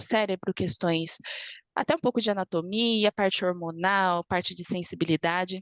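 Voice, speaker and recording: The sound is dry and close with no echo as a woman speaks at a medium pitch with ordinary pitch variation. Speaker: lecturer, architect and neuroscience student. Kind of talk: online lecture. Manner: fast.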